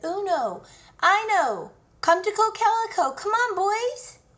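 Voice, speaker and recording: A woman puts on a squeaky character voice, extremely high in pitch with ordinary pitch variation. She projects it in a raised voice at a fairly slow pace. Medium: read story.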